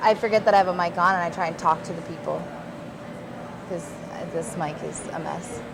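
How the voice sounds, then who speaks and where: A woman with a fairly low pitch talks at a fairly quick pace with fairly even intonation, broken by long, frequent pauses. Her loudness swings widely, and there is noticeable background noise. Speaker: assistant director. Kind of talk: casual chat.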